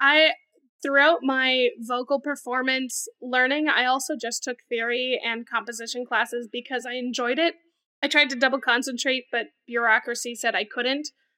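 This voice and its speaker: Her voice raised and projected, a woman speaks at a moderate pace in a high, bright, sharp tone with fairly even intonation. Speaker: guest, singer and song contest entrant. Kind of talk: casual chat.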